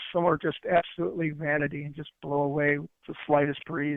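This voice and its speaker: Fairly quick pace and fairly even intonation from a male speaker. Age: 60s. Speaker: interview guest sharing life story. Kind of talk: interview. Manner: halting.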